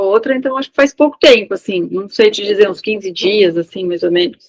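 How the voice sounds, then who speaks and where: A woman with a normal speaking voice talks fairly quickly at medium pitch, with fairly even intonation, in a dry, close sound with no echo. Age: 40s. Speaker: architect, participant in online class. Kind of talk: casual chat.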